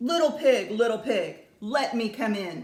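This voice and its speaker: Gruff and fairly high in pitch, a put-on character voice moves along at a fairly slow pace. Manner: wicked, demanding.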